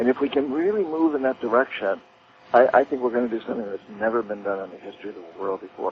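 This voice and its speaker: At a very fast pace, a man with a medium pitch uses lively intonation and big swings in loudness. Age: 60s. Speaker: author and activist. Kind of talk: interview. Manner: hesitant, repeats words.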